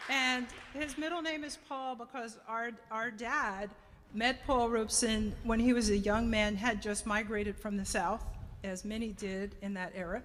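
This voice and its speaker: A woman with an American accent and an unremarkable speaking voice, fairly high pitch, ordinary pitch variation and a moderate pace. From New Jersey (Orange, Essex County). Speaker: speaker at a community event. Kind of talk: public remarks to an audience.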